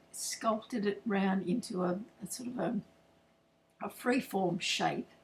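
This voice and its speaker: A woman with an Australian accent talks fairly slowly, her pitch varying in an ordinary way. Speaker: floral designer. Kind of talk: tutorial. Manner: loud, projecting. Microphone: no microphone, computer's built-in mic.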